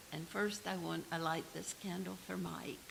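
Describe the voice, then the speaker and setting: Over noticeable background noise and audible room echo, a woman speaks with a Southern US accent. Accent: US South. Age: 70s. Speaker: congregation member. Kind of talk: joys and concerns sharing. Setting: church.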